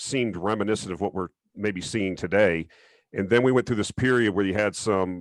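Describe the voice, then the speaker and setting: In an unremarkable speaking voice, a man with an American accent talks at a fairly quick pace, the sound dry and close with no echo over a quiet background. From southern Florida. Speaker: interview host. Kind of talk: interview.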